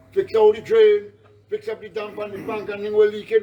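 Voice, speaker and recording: A man with a Trinidadian accent at a fairly quick pace, with ordinary pitch variation over noticeable background noise. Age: 60s. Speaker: flood-affected resident. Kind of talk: on-the-spot interview. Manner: animated.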